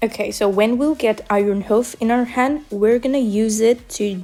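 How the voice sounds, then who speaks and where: A woman talks with a non-native accent at a fairly high pitch. Noticeable background noise sits behind her. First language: not English. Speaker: gaming video creator. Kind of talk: tutorial.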